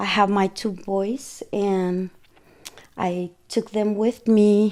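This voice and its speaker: At a very slow pace, a woman speaks with a Guatemalan accent. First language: Spanish. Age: 40s. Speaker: cleaning business owner. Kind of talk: interview.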